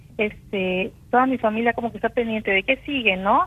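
With ordinary pitch variation, this woman's voice sits fairly high. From Campeche, Mexico. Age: 40s. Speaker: singer-songwriter. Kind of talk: interview testimony.

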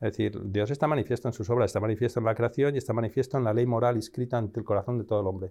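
A man at a very fast pace with hardly any pauses, a dark, mellow tone and fairly even intonation, against a quiet background. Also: medium pitch for a man. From Spain, Madrid. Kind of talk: interview.

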